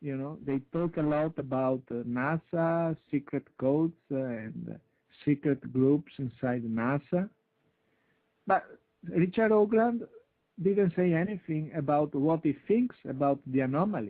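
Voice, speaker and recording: A man with an Italian accent speaks at a fairly high pitch with lively intonation. He pauses long and often. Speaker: UFO researcher. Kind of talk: interview. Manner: halting. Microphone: intermittent connection, poor sound.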